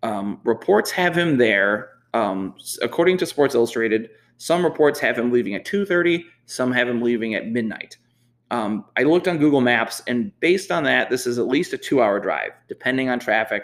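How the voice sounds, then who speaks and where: Here is a man with a plain, everyday voice at medium pitch. His intonation is lively and his pace moderate. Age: 30s. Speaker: sports podcast host. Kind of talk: solo podcast monologue. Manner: casual with frequent fillers.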